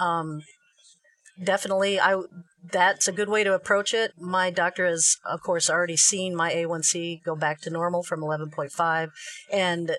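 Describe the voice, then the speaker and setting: A plain, everyday voice from a woman, fairly low in pitch, with fairly even intonation at a fairly quick pace. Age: 50s. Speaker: Facebook group admin and keto advocate. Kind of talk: recipe tutorial; casual chat.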